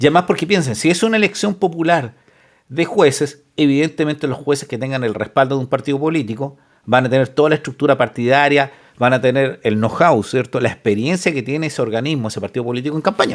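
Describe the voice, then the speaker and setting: Speaking at a very fast pace in a Chilean accent, a man has a fairly high pitch and ordinary pitch variation. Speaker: lawyer and reaction video host. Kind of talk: reaction commentary reading news aloud. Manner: casual, conversational.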